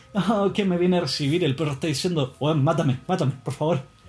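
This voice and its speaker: A man with a Chilean accent speaks in a somewhat breathy voice with ordinary pitch variation. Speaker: podcaster. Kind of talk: casual monologue.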